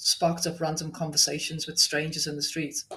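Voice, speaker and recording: In a strong Liverpool accent, the speaker talks at a moderate pace. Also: woman. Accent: Liverpool (Scouse), still strong. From Liverpool, England. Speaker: restaurant owner. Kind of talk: podcast interview. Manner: chatty.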